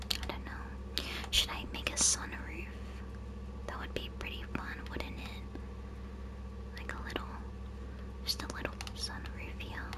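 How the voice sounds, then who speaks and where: The speech moves at a very slow pace with long, frequent pauses, over loud background noise. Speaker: gaming ASMR creator. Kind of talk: ASMR gameplay narration, casual talk to camera. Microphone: studio mic.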